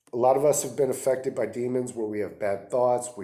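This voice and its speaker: This man's voice sits at a medium pitch with a dark, mellow tone. His intonation is fairly even. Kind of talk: religious teaching monologue. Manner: halting, with fillers.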